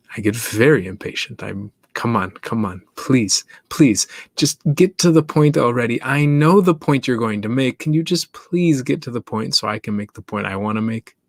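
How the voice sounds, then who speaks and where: The man's voice sits at a medium pitch and has lively intonation. The sound is dry and close, with no echo. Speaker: podcast host. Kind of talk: solo monologue podcast. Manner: intentionally slow.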